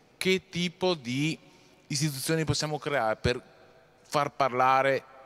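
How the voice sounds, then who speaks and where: A man's fairly high pitch with ordinary pitch variation. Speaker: audience member asking questions; audience member. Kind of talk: lecture. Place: hall.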